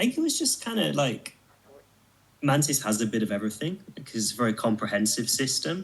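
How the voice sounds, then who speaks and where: A man with a British accent at a medium pitch, with lively intonation and a fairly quick pace, over noticeable background noise. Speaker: martial artist, kung fu video maker. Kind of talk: casual interview.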